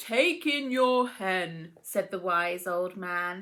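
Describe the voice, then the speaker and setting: Doing a put-on character voice, a woman talks at a very slow pace and a medium pitch. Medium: read story. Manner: calm, measured.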